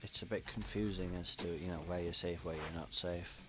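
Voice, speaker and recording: With music in the background, the speaker keeps a moderate pace and fairly even intonation. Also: man. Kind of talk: gameplay commentary. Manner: casual, chatty.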